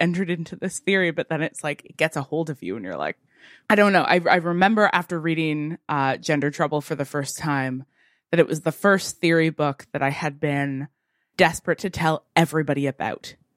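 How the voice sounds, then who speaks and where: The speech moves at a fairly quick pace with big swings in loudness. The sound is dry and close, with no echo. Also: woman. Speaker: podcast host and academic. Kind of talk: casual interview chat. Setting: video call.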